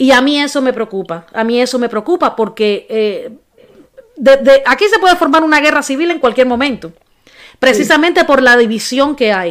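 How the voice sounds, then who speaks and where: With a high pitch and lively intonation, a woman talks at a moderate pace. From Cuba, Havana. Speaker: podcast host. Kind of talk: casual chat.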